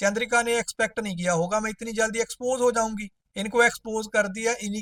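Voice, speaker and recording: The recording of a man with a non-native accent sounds dry and close, with no echo. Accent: non-native Hindi accent, still learning. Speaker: roast commentator YouTuber. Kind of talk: comedic roast commentary.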